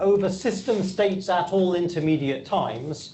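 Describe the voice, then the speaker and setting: A man with an English accent talks in a high pitch with ordinary pitch variation, amid audible room echo and noticeable background noise. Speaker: physicist. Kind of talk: lecture. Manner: frequent fillers and repetitions.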